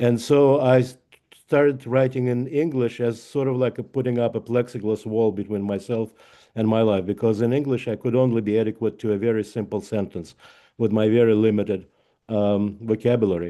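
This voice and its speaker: Fairly quick speech from a man with a Russian accent, medium in pitch and fairly even in intonation. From Russia (Leningrad). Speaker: author. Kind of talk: author talk. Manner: halting.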